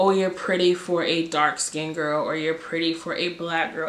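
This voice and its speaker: Noticeable background noise sits behind this recording. A woman with a fairly low pitch talks at a moderate pace. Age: 20s. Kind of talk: casual story time to camera.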